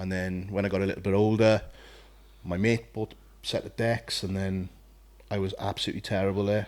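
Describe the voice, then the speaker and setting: A man with a Welsh accent, fairly low in pitch, in monotone, flat intonation, on a very clean recording with a silent background. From South Wales. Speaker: podcast co-host, bodybuilder, former DJ. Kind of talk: casual chat.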